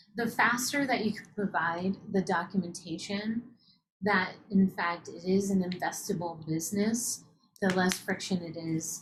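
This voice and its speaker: In a Utah accent, a woman speaks at a fairly slow pace with ordinary pitch variation. Her medium-pitched voice is somewhat breathy. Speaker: startup accelerator host. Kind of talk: webinar interview.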